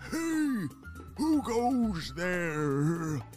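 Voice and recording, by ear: A put-on character voice at a middle pitch plays over clear background music.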